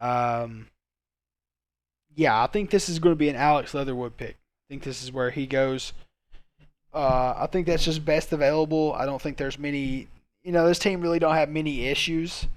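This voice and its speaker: A man with a fairly high voice speaks with ordinary pitch variation, long and frequent pauses, and big swings in loudness, on a very clean recording with a silent background. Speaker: sports YouTuber. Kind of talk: solo commentary video. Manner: fast; hesitant, many fillers.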